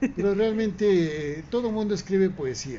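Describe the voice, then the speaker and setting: Audible room echo around a man's voice, its pitch swinging very widely. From Mexico. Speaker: poet and musician. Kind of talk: interview.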